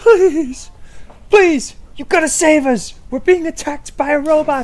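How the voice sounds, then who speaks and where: A female-sounding voice with high pitch performs a put-on character voice at a fairly slow pace. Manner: angry; frantic, pleading.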